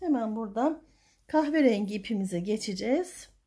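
Against a quiet background, a woman with a fairly high pitch speaks at a fairly slow pace. Her voice is somewhat breathy, with very wide pitch swings. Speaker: crochet tutorial youtuber; crochet tutor. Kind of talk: tutorial. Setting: home at night. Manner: soft-spoken; halting. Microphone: phone near.

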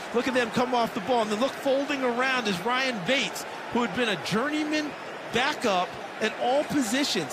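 Relaxed in tone and fairly quick, a man talks at an extremely high pitch with ordinary pitch variation over noticeable background noise. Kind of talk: live sports commentary. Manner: conversational, analytical, relaxed.

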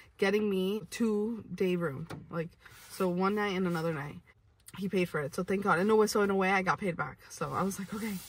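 A woman at a fairly quick pace with fairly even intonation and a dry sound with no echo. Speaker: vlogger. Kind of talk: casual storytime vlog chat. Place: car. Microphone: phone near.

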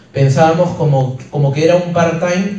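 A man with ordinary pitch variation and audible room echo. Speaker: presenter. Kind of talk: motivational talk. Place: hall. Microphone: pa.

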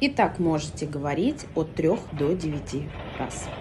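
A woman speaks very slowly in a very deep, low voice with ordinary pitch variation. Light background noise can be heard. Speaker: witch / practitioner of folk magic. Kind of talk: instructional talk to camera with whispered spells. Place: home room. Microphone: phone near.

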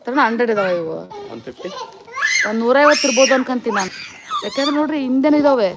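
A woman speaks at a high pitch with lively intonation and big swings in loudness. Noticeable background noise runs underneath. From Davangere, Karnataka. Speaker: vlogger. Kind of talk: live stream chat. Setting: outdoors. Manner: animated.

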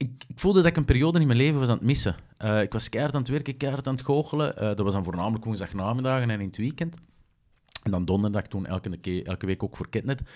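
The speaker talks very fast in a Flemish accent, with lively intonation. The background is quiet. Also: man. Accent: Flemish Dutch. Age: 30s. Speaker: actor, presenter and magician; podcast guest, actor. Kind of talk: casual chat. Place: studio. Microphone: studio mic.

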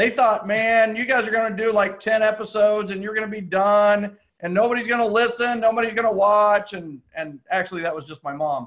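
The surroundings stay quiet. A man's voice is heard. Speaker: podcast host. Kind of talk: casual podcast chat. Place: home room. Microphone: earbuds.

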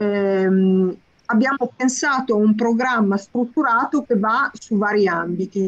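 A woman speaks at a very slow pace with fairly high pitch and very even loudness. The sound is dry with no echo, and the background is quiet. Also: ordinary pitch variation. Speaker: course organizer. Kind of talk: introduction. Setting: video call. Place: home room. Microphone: video call.

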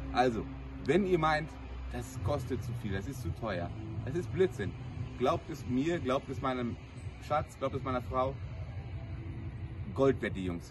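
Speaking at a fairly slow pace with lively intonation, a man leaves long, frequent pauses against noticeable background noise. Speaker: groom giving a wedding testimonial. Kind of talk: casual testimonial to camera. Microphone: camera far.

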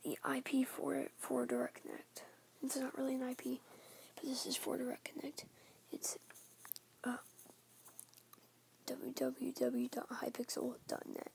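Someone whispers quietly at a fairly slow pace, with long, frequent pauses. Light background noise can be heard. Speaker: gaming vlogger. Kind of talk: casual vlog talk to camera. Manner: half-whispered, quiet. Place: home room. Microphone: phone near.

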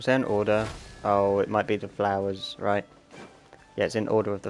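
Someone reads in an unforced voice.

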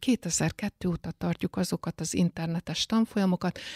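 A woman with a fairly low, somewhat breathy voice speaks at a moderate pace, the sound dry and close with no echo on a very clean recording with a silent background. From Hungary, Eger. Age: 60s. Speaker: librarian. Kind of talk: interview.

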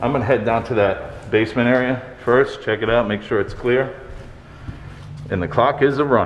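The background carries a light hum of noise. Over it, a man talks at an even, middling speed. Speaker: paranormal explorer vlogger. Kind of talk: casual vlog chat. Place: hall. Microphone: phone near.

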